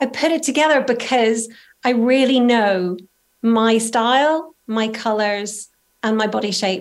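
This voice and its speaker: A woman with a Northern Irish accent talks at a fairly slow pace, her fairly high pitch showing ordinary variation. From Northern Ireland. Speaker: style coach. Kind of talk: interview.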